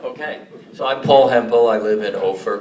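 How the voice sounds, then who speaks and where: The recording has audible room echo. Noticeable background noise can be heard as well. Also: man. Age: 70s. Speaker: town hall attendee. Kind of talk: public question at town hall. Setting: town hall meeting with audience.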